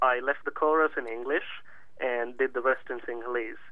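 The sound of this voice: A man's medium-pitched voice with little pitch movement.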